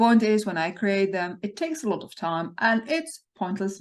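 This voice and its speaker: Against a quiet background, a woman talks at a moderate pace in a somewhat breathy voice with lively intonation. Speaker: research funding consultant. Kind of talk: tutorial.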